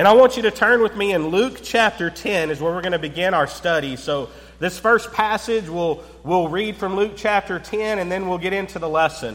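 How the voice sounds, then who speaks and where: A man with a high pitch speaks at a moderate pace. His pitch variation is ordinary, and there is noticeable background noise. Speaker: preacher. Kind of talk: sermon.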